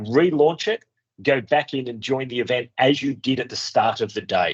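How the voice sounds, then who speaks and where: Speaking at a moderate pace with a strong Australian accent, the man has a medium pitch and ordinary pitch variation. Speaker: race organiser. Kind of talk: pre-race briefing with Q&A. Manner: casual, hesitant with fillers.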